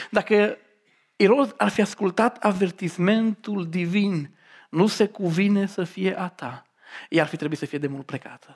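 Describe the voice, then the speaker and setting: In a very clean recording with a silent background, a woman with a normal speaking voice and medium pitch talks at a fairly slow pace, her intonation lively and her loudness swinging widely. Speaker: preacher. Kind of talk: sermon.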